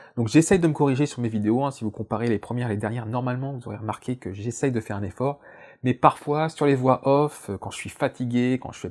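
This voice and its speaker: At a fairly quick pace, a man of medium pitch shows ordinary pitch variation and big swings in loudness on a very clean recording with a silent background. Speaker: science YouTuber. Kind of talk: casual vlog. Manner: very fast; hesitant, many fillers.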